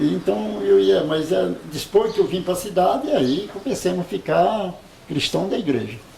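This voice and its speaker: A man talks at a fairly slow pace with a fairly high pitch and very wide pitch swings. Noticeable background noise runs under his voice. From interior of São Paulo state, Brazil. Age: 70s. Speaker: elderly local resident. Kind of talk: oral history interview. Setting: at home.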